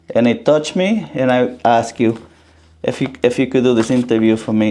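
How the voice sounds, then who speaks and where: Speaking at a moderate pace, a man has a dark, mellow tone at a medium pitch. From Dominican Republic. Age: 50s. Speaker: interviewer. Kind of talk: interview; scripted introduction.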